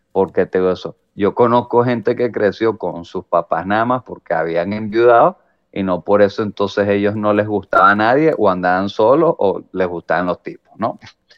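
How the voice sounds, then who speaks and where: Speaking with a Venezuelan accent at a moderate pace, a man uses a fairly low pitch and ordinary pitch variation, with hardly any pauses. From Venezuela, San Antonio de los Altos area. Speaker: comedian and podcast co-host. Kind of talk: casual chat.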